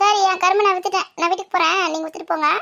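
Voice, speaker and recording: A woman's cartoonish character voice, extremely high and monotone with flat intonation, at a fairly quick pace. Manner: bossy, brisk.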